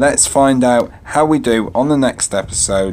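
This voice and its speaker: A man speaks with lively intonation at a moderate pace. Noticeable background noise is present. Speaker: gaming youtuber. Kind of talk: gameplay commentary.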